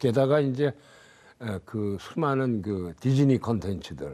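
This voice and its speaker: A man's dark, mellow tone with lively intonation at a fairly slow pace. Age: 80s+. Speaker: novelist. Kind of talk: interview answer.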